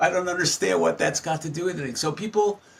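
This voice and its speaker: A somewhat breathy male voice. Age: 70s. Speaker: psychologist. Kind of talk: podcast interview.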